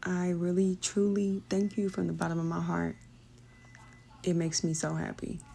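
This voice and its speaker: A woman with an American accent speaks at a moderate pace. She leaves long, frequent pauses. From Indiana, US Midwest. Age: 30s. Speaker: beauty vlogger. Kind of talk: casual vlog voiceover.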